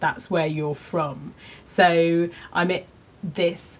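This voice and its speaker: A woman's fairly low voice in a Cornish accent, at a fairly slow pace. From Cornwall. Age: 50s. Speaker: podcast host and artist. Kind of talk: casual chat.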